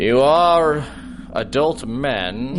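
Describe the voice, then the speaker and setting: Over clear background noise, a man puts on a character voice at a fairly high pitch with lively intonation. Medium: audio drama. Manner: hesitant, rambling with many ums and uhs.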